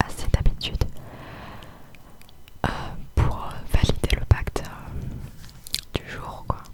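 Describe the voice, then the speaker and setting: Whispering from a woman over noticeable background noise. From southern France. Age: young. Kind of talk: ASMR whispered chat to camera. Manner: whispered.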